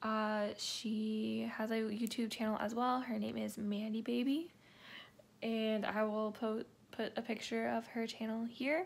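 At a fairly slow pace, a woman speaks with fairly even intonation. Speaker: vlogger. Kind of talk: casual vlog chat. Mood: relaxed, cheerful. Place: home room. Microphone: phone near.

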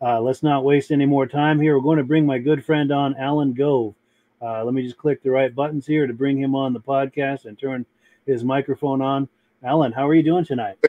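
A man talks at a fairly quick pace with monotone, flat intonation, the sound dry with no echo. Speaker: podcast host. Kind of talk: live show hosting, reading viewer comments. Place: home room.

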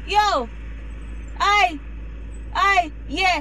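A woman is heard in a dry sound with no echo, over light background noise. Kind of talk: comedy skit rant. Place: car. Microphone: phone near.

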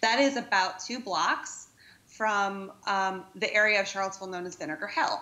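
A woman speaks with an American accent at a moderate pace. Her pitch varies in an ordinary way. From Virginia, US South. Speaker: panel discussant. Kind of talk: panel discussion. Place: hall.

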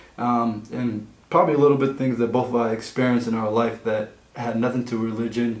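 The man talks at a fairly quick pace with fairly even intonation. Room echo can be heard. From Egypt (Nubian family, southern Egypt). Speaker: podcast co-host. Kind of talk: casual chat. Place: meeting room.

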